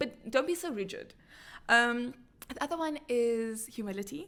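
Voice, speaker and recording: A woman with a fairly high voice and very wide pitch swings is heard in a very clean recording with a silent background. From South Africa, Cape Town. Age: 30s. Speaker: entrepreneur and speaker. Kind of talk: podcast interview. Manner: fast.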